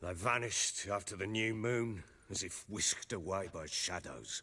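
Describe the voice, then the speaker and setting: A man's raspy, put-on character voice, fairly low and fairly even in intonation, at a moderate pace against a quiet background. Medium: video game. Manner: gruff, blunt.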